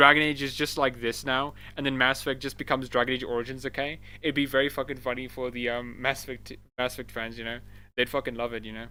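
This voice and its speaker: A man speaks at a very fast pace with a bright, sharp tone. The recording is very clean, with a silent background. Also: medium pitch for a man. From South Africa. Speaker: gaming streamer. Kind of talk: casual live stream chat. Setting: live stream. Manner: animated.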